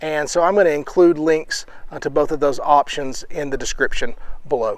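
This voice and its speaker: Here a man speaks with a fairly high pitch. His intonation is fairly even and his pace moderate. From US South. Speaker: outdoor vlogger and parent. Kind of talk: gear review tutorial. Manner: casual, frequent filler words.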